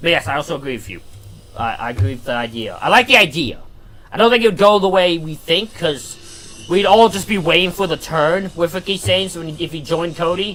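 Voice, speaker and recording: Loud over music in the background, a man with a high pitch talks at a fairly quick pace. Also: lively intonation. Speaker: wrestling watch-along streamer. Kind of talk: live stream chat commentary. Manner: halting, repeats words.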